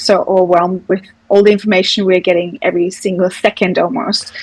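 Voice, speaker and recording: A woman with an Austrian accent speaks at a fairly quick pace, her loudness very even throughout. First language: German. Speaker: digital marketing agency founder. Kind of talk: podcast interview. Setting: podcast.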